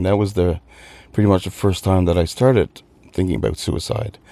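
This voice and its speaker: A man talks with a Newfoundland accent. His tone is dark and mellow. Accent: Newfoundland Canadian, noticeable. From Newfoundland, Canada. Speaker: mental health ambassador. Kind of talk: radio interview. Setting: studio.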